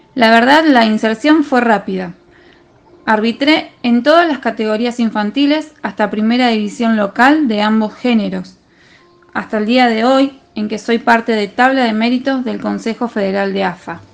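A woman's fairly high-pitched voice at a moderate pace, with noticeable background noise. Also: ordinary pitch variation. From Argentina, Rosario. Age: 30s. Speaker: football referee. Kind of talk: testimony.

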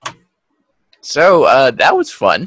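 A man's voice, dry and close, with no echo. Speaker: podcast co-host. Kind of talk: casual chat. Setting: video call. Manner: laughs often.

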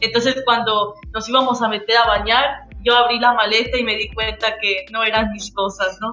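A woman's voice sits at a fairly high pitch. Her intonation is flat and monotone. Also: moderate pace. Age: 20s. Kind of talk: testimony.

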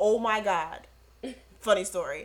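A woman speaks with ordinary pitch variation. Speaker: podcast co-host. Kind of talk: casual chat. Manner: animated, gets loud when excited.

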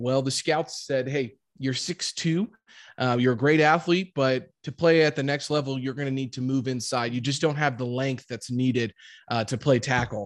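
Over a quiet background, a man with a Midwestern American accent speaks at a medium pitch. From US Midwest, Jefferson City, Missouri. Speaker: real estate investor, former football player. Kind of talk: interview.

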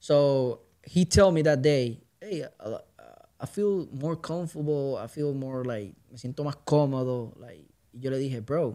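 With a Puerto Rican accent, a man speaks at a fairly high pitch in a dark, mellow tone, with ordinary pitch variation and big swings in loudness. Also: fairly slow pace. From Puerto Rico. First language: Spanish. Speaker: musician and podcaster. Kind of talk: casual chat.

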